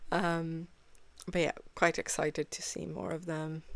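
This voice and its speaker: A woman speaks with a non-native accent. Her voice is very deep and low, and her pace is very slow. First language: not English. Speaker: reaction video creator. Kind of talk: casual reaction commentary. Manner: halting, frequent fillers.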